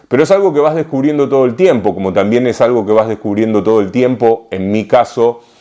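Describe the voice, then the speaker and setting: A man with a Rioplatense accent, medium in pitch, dark and mellow in tone, with lively intonation, a fairly quick pace and hardly any pauses. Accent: Argentine Rioplatense Spanish. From Argentina, Rosario. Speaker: writer and literature scholar. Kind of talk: interview answer. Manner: hesitant, frequent repetitions.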